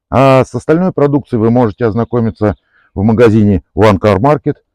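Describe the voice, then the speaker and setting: Over a quiet background, a dark, mellow voice races at a very fast pace with lively intonation, the sound dry with no echo. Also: man. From Moscow Oblast, Russia. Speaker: car detailing enthusiast, product reviewer. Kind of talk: product demonstration tutorial. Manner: casual, conversational. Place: open country.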